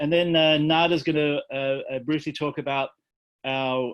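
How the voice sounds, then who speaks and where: Fairly even intonation marks this man's speech, delivered with an Australian accent. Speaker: environmental peace organization director. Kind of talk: talk to online audience. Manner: halting, many fillers.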